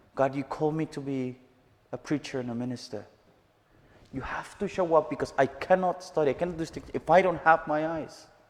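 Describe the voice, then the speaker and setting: With a Mexican accent, a man talks at a fairly quick pace with ordinary pitch variation. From Mexico, Chihuahua. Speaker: missionary. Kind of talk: testimony. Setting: church service with live audience.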